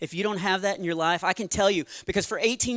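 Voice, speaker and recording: A man talks at a very fast pace in a Texan accent with ordinary pitch variation. The recording is very clean, with a silent background. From Texas. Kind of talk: stand-up comedy with testimony. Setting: church stage with audience.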